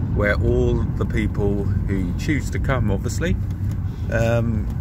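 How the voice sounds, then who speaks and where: A fairly slow pace, a dry sound with no echo, and loud background noise. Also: man. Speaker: vlogger. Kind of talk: casual vlog chat. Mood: jokey, good-humoured. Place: car. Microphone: phone near.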